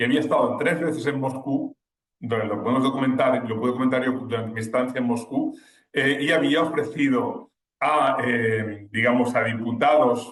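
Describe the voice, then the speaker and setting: A man at medium pitch and a moderate pace. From Spain. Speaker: war correspondent. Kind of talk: webinar talk. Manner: halting, many fillers and restarts.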